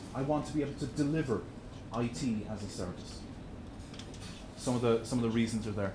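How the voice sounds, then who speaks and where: The voice, in an Irish accent, has ordinary pitch variation and comes through audible room echo and noticeable background noise. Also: man. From Ireland. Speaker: tech presenter. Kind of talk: presentation. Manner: repetitive, stammering restarts.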